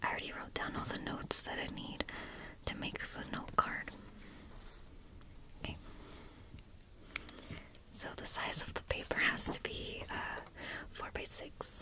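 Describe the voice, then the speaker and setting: A woman whispers at a fairly slow pace, leaving long, frequent pauses. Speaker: college student; retail worker. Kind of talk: ASMR study session, whispered talk to camera. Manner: whispered, soft-spoken. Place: home room. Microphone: earbuds.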